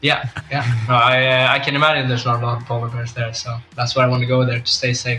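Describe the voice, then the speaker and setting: A man speaks very fast in a monotone, flat intonation at medium pitch, with noticeable background noise. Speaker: esports sailing competitor. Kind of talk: casual interview. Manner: halting.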